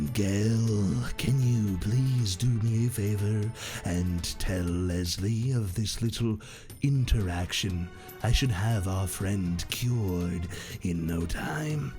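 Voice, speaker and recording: Over clear background music, a man puts on a character voice, fairly low in pitch, and speaks at a very slow pace. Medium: actual play. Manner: calm, polite, quietly creepy.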